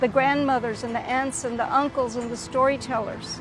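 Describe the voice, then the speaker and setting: A high-pitched woman with an American accent over noticeable background noise. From US, Texas (San Antonio west side). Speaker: poet and storyteller. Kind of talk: testimony.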